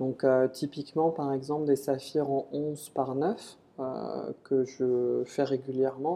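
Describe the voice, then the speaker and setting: With fairly even intonation, this man's voice sits at a fairly high pitch. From western France, Nantes. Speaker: gemologist. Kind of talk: interview. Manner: halting.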